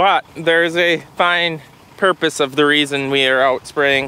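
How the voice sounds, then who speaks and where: A man's voice, dry with no echo, with ordinary pitch variation. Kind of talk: casual vlog chat. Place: open country. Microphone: phone near.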